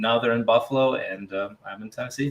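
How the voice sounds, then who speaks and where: A man with a Russian accent talks at a fairly quick pace in a medium pitch, his intonation monotone and flat. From Russia, small town. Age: 20s. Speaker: interviewee in couple interview. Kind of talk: casual interview.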